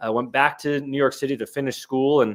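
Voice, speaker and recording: In a very clean recording with a silent background, a man with an American accent uses a normal speaking voice at a medium pitch. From US South, Jacksonville, northeast Florida. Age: 30s. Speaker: documentary photographer. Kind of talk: interview.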